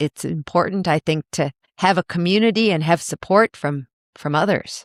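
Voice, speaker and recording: A woman talks in a plain, everyday voice with a fairly low pitch and ordinary pitch variation at a moderate pace. The recording is very clean and dry, close with no echo, over a silent background. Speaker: podcast host. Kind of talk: podcast interview host.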